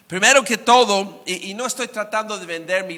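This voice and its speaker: Noticeable noise sits behind the man, who talks at a moderate speed and shifts pitch in an ordinary way. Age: 60s. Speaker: guest preacher. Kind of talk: sermon.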